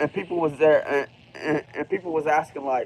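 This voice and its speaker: A man with an Appalachian Ohio accent and a fairly high pitch, at a fairly quick pace with fairly even intonation, in a dry, close sound with no echo. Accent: Appalachian Ohio American. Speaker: livestreamer. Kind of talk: casual livestream monologue. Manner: quiet.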